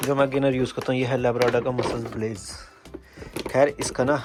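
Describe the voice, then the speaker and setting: Noticeable background noise sits behind a man with a medium pitch. He speaks at a moderate pace in a flat monotone. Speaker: vlogger. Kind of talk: casual vlog talk. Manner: casual.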